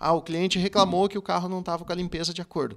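A man speaks against a quiet background. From Curitiba, Paraná, Brazil; Paraná, Brazil. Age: 40s. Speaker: car dealership sales director. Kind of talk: podcast interview. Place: studio. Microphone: studio mic.

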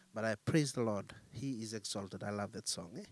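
Speaking at a moderate pace, a man uses a fairly low pitch and ordinary pitch variation.

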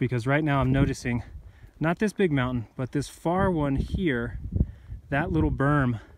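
At a fairly slow pace, a man speaks with ordinary pitch variation in a dry recording without echo but with noticeable background noise. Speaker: hiker vlogger. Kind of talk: casual vlog chat. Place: open country. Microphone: phone near.

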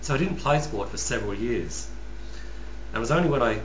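A man talks at a moderate pace against noticeable background noise. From Western Australia, rural (Northam). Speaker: YouTuber, customer service worker. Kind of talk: personal vlog monologue. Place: home room. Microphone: webcam.

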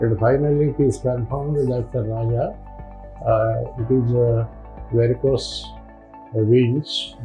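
A man talks at a fairly slow pace with long, frequent pauses and monotone, flat intonation while faint music plays in the background. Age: 70s. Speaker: retired college lecturer. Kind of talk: patient testimonial. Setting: hospital. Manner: hesitant, many fillers.

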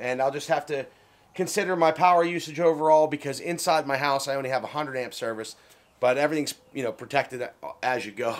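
Ordinary pitch variation marks this man's speech. He talks at a very fast pace. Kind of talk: tutorial. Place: garage.

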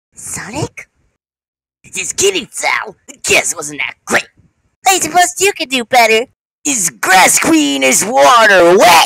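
A put-on character voice, fairly high in pitch, moves at a fairly slow pace through very wide pitch swings. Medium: machinima. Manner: mocking.

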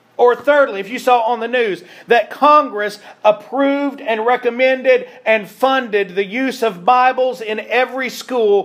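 This man's pitch is extremely high, with ordinary variation. He speaks at a fairly slow pace. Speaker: preacher. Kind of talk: sermon. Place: church.

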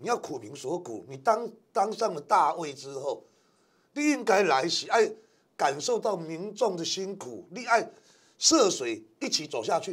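High pitch from a man, swinging very widely up and down. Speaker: former radio host, political commentator. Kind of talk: casual talk show discussion.

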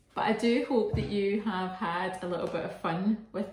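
A woman at a moderate pace amid audible room echo. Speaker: arts activity host. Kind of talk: casual craft tutorial chat. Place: kitchen. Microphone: phone near.

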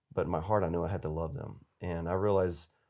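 A man with an Appalachian accent talks at a very fast pace in a very deep, low pitch. His intonation is fairly even, and the background is quiet. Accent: Southern US (Appalachian North Carolina). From US South, western North Carolina mountains. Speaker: charity executive, former army officer. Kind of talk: casual interview. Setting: studio. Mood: earnest, reflective. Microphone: lapel.

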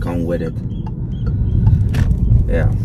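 With music in the background, a man speaks in a dry sound with no echo. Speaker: fitness vlogger. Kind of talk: casual vlog chat. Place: car. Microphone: phone near.

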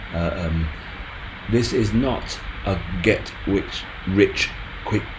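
A man speaks with a very deep, low pitch. Music plays in the background, and room echo is audible. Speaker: crypto YouTuber. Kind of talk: casual video commentary. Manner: halting, many fillers.

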